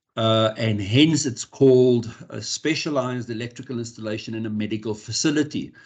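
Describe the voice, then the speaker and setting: With an Afrikaans accent, a man at medium pitch talks at a fairly quick pace with hardly any pauses, fairly even intonation and big swings in loudness. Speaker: electrical compliance specialist. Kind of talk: workshop presentation. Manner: halting, many repeated words.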